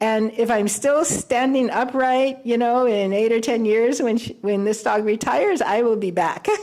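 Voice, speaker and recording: Over noticeable background noise, a woman keeps a moderate pace, fairly even intonation and very even loudness. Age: 70s. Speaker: blind guide dog graduate. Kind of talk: graduation speech. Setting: ceremony with live audience. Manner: halting, many fillers.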